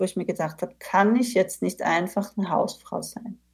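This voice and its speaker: With an ordinary speaking voice, a woman talks at a medium pitch and a moderate pace, her pitch variation ordinary. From Austria. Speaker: managing director of a consultancy. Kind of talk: interview.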